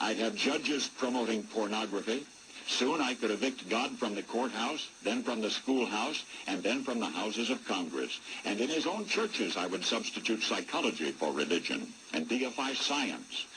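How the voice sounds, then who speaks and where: Noticeable background noise behind a man's medium-pitched voice, lively in intonation, very even in loudness, at a moderate pace. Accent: American. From United States. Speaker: radio broadcaster. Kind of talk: radio commentary.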